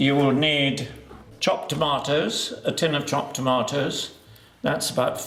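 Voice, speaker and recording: A man's fairly high, calm, gentle voice over music in the background. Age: 80s. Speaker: home cook, cooking channel host. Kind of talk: cooking demonstration to camera. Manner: calm, gentle, unhurried.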